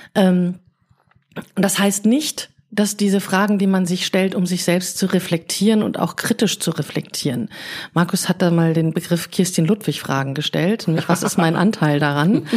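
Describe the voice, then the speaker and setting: In an ordinary speaking voice, a woman talks at a moderate pace and medium pitch, with ordinary pitch variation and very even loudness. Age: 40s. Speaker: podcast host and coach. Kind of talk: casual chat.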